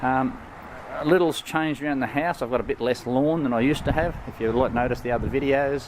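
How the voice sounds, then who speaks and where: Noticeable background noise sits under a man's fairly quick speech, which has ordinary pitch variation. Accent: Australian. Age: 60s. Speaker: product reviewer. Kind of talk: product review. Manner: halting, many fillers.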